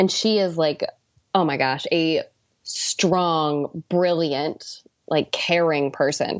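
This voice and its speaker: With an American accent, a woman speaks at a very slow pace and a fairly low pitch, with very even loudness and fairly even intonation. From US Pacific Northwest. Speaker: ocean policy fellow. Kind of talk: interview.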